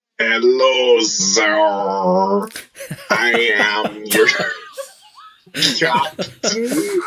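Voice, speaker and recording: A put-on character voice at a low-to-middle pitch and a very slow pace. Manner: formal.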